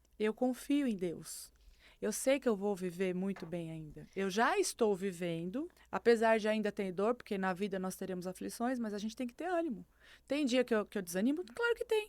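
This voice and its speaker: An ordinary speaking voice with lively intonation moves at a moderate pace over a very clean recording with a silent background. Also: woman, medium pitch for a woman. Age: 50s. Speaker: podcast guest sharing faith testimony. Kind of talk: testimony.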